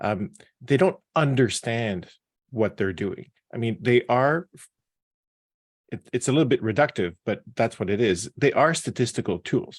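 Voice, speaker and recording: Lively intonation from a medium-pitched man at a fairly slow pace, in a dry, close sound with no echo. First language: not English. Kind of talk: panel discussion. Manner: halting.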